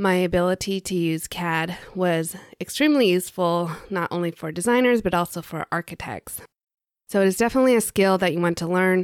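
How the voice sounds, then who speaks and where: A woman with an unremarkable speaking voice talks at a fairly quick pace and medium pitch, with ordinary pitch variation. The very clean recording has a silent background and a dry, close sound with no echo. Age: 40s. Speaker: podcast host and interior design mentor. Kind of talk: solo podcast monologue.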